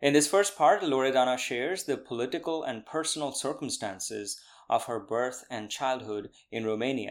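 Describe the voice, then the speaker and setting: A man with a Bengali accent at a moderate pace. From India. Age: 30s. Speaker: podcast host. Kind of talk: scripted narration; interview conversation. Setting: video call.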